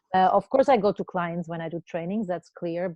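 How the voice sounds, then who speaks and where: A woman with a non-native accent speaks at medium pitch with fairly even intonation. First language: not English. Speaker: cross-cultural consultant. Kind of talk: interview.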